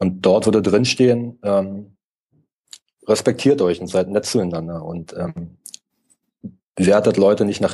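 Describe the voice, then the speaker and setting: With a dark, mellow tone and fairly low pitch, a man speaks at a moderate pace in fairly even intonation, leaving long, frequent pauses. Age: 30s. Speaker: digital nomad blogger and entrepreneur. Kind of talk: interview.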